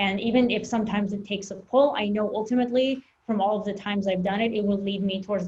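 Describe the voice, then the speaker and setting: A woman's somewhat breathy, medium-pitched voice at a very fast pace. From Russia, moved to US as child. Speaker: e-commerce seller and coach. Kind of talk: podcast interview.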